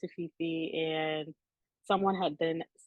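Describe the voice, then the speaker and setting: A woman speaks in a fairly low pitch. Her intonation is flat and monotone. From San Francisco Bay Area. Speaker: belly dancer. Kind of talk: interview. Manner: hesitant, many fillers.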